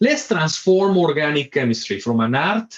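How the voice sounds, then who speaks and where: A man's Spanish accent, with very wide pitch swings. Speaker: professor. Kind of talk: lecture. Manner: fast; animated.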